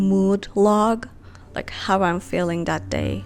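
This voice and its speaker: This is a woman speaking. She has a non-native accent. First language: not English. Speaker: lifestyle vlogger. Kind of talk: casual vlog talk to camera.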